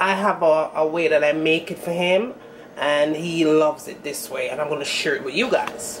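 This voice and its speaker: A woman with a Jamaican accent against noticeable background noise. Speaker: home cook, cooking channel host. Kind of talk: casual cooking tutorial to camera.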